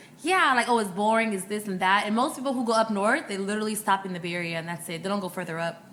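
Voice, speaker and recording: Noticeable background noise sits behind a woman with an American accent and a medium pitch. She talks in an animated tone at a very fast pace, with hardly any pauses. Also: ordinary pitch variation. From Ghana, then Sacramento, California from age nine. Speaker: healthcare recruiter and media founder. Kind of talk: podcast interview, personal story. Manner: animated, casual.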